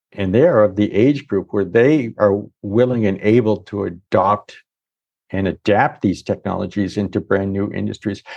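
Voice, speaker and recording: Against a quiet background, a man in a normal speaking voice talks at a moderate pace with a fairly low pitch and ordinary pitch variation. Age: 60s. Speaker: economist. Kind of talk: casual interview chat.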